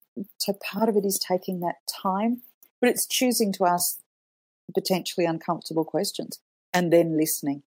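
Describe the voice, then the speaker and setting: A woman talks at a moderate pace and a medium pitch with ordinary pitch variation. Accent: Australian. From Australia. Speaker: communications professional. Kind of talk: interview.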